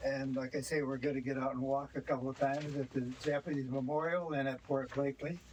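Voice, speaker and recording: A man's fairly high, monotone voice with an American accent, flat in intonation and very fast in pace. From US Pacific Northwest, Washington. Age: 90s. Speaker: local history tour guide. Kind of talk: guided tour talk. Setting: on a tour bus. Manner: halting, many fillers.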